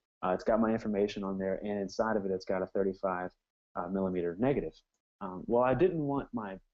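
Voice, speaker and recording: A man with an American accent talks at a very fast pace in a fairly low pitch. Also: ordinary pitch variation. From US. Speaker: wedding photographer. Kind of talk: casual interview.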